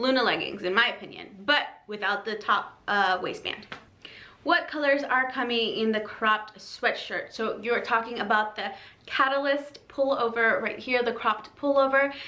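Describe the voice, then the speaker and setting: A woman's fairly high voice, bright and sharp in tone, moves at a moderate pace with ordinary pitch variation amid audible room echo. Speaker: fitness apparel reviewer. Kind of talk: product review video. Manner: casual, filler-heavy.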